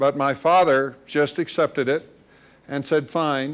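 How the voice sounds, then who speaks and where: Very clean recording with a silent background of a man in a Midwestern American accent, fairly high-pitched, fairly slow, with fairly even intonation. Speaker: university institute director. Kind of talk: lecture.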